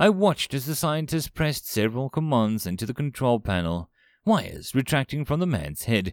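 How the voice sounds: Delivered in a natural reading voice, the lines carry lively intonation.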